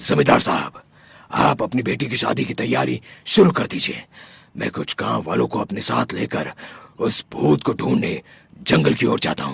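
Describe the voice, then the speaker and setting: A man puts on a cartoonish character voice pitched very deep and low. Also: moderate pace. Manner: confident, authoritative.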